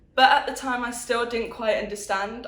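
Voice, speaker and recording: A woman's fairly high voice, monotone and flat, at a moderate pace with audible room echo. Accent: Birmingham. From Birmingham, England. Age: 20s. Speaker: interviewee. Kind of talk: testimony.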